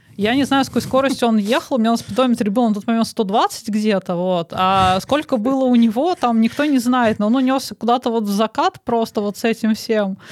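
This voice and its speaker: A woman with a fairly high pitch speaks at a fairly quick pace with hardly any pauses and ordinary pitch variation, in an unremarkable speaking voice, on a very clean recording with a silent background and a dry, close sound with no echo. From Moscow, Russia. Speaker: programmer. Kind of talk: casual chat.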